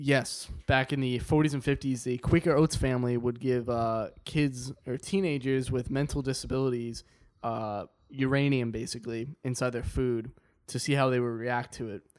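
A normal speaking voice with fairly even intonation at a moderate pace. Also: man, medium pitch for a man. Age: 20s. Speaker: recurring podcast guest. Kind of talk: casual chat.

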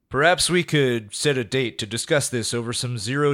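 In an unremarkable speaking voice, a man talks at medium pitch and a moderate pace with ordinary pitch variation. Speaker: corporate CEO character giving a speech. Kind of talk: polished corporate speech to an audience. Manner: smooth, formal, folksy-charming.

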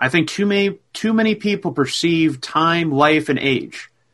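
The man's intonation is lively and his tone fairly bright. He keeps a moderate pace. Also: fairly high pitch for a man.

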